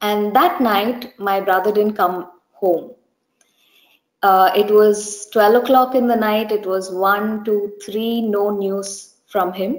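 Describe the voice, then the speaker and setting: A woman speaks at a very slow pace with fairly even intonation, her voice carrying audible room echo over a quiet background. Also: medium pitch for a woman. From India, Bangalore. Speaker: church member giving testimony. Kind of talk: testimony. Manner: hesitant, many fillers. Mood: earnest, gentle, reflective. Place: home room. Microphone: webcam.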